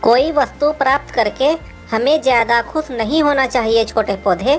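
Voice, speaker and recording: A female-sounding voice talks in a cartoonish character voice at a high pitch. Clear music plays in the background. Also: fairly slow pace. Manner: calm, gentle, preaching.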